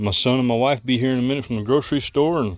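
The sound is dry, with no echo. A man talks at a very fast pace with ordinary pitch variation. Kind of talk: casual vlog chat. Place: open country. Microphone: phone near.

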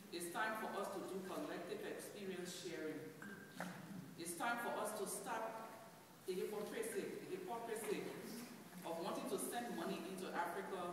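Strong room echo and noticeable background noise surround a woman speaking at a moderate pace with ordinary pitch variation and long, frequent pauses. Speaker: guest. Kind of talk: passionate speech. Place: church. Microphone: camera far.

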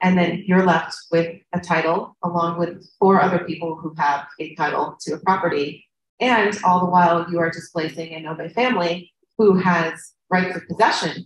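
Over light background noise and audible room echo, a woman with an American accent speaks in a somewhat breathy, fairly low voice with fairly even intonation and big swings in loudness. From United States. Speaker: field station director and researcher. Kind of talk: conference presentation. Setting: conference panel. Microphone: video call.

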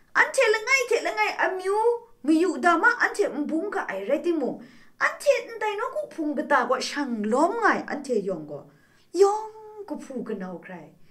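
With a bright, sharp tone, a woman speaks with very wide pitch swings against a quiet background. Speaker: religious speaker. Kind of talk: sermon. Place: studio.

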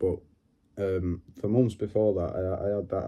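Against a quiet background, a man with a very deep, low pitch speaks at a moderate pace in a somewhat breathy, monotone, flat voice. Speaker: vlogger. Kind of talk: casual talk to camera. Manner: hesitant, halting. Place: home room. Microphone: phone near.

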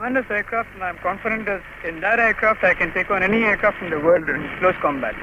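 A man at a high pitch and a very fast pace, dry with no echo, over noticeable background noise. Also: ordinary pitch variation. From India. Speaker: air force formation leader, fighter pilot. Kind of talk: interview answer. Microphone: old recording.

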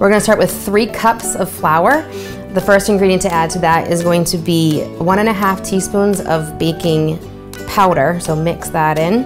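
Clear music plays behind a woman with a fairly low pitch. Her intonation is fairly even and her loudness very even. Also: moderate pace. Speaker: presenter. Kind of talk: tutorial. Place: kitchen. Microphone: lapel.

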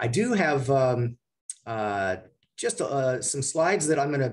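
A man speaks with lively intonation and a somewhat breathy quality. The background is quiet. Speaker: radio station general manager. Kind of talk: guest talk to an audience. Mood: warm, appreciative. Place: office. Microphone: video call.

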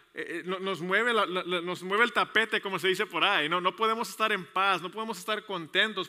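Against a quiet background, a man talks in a high pitch with fairly even intonation. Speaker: pastor. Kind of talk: sermon. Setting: church service with congregation, also streamed online. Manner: fast; halting, many repetitions and fillers. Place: church. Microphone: headset.

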